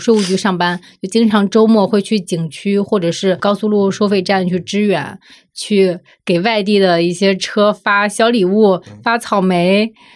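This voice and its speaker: On a very clean recording with a silent background, a woman with an ordinary speaking voice talks at a moderate pace and medium pitch with fairly even intonation. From Zibo, Shandong. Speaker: magazine editor. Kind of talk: casual chat.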